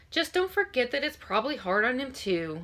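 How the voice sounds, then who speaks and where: In a put-on character voice, a woman sounds gruff, her high pitch making very wide swings at a fairly quick pace. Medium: read story. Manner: gruff yet kind.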